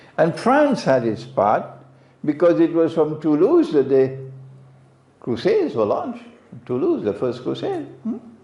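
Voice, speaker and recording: Speaking with a Caribbean accent, a man leaves long, frequent pauses as audible room echo fills the recording. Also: fairly slow pace. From Trinidad. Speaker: Islamic scholar and preacher. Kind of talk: religious lecture. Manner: conversational, rhetorical questions.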